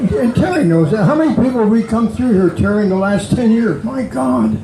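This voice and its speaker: A man with a high voice, very wide pitch swings and very even loudness at a fairly quick pace, over noticeable background noise. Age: 80s+. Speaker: recovery speaker. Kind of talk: recovery testimony talk. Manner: animated.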